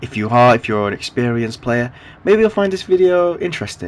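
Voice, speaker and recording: Medium-pitched for a man, this voice is an unremarkable speaking voice with lively intonation. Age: 20s. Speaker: gaming youtuber. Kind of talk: gameplay commentary. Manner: casual with filler words.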